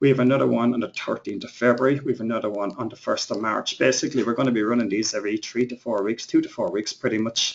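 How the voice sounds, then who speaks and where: The speaker is a man with an Irish accent. His pitch sits in the medium range. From Ireland. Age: 30s. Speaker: internet marketing trainer. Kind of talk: webinar presentation. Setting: live webinar. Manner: fast.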